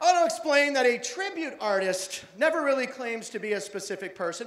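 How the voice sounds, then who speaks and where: A man at a moderate pace with very wide pitch swings, in audible room echo. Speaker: show host. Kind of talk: stage introduction to audience. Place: stage. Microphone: handheld.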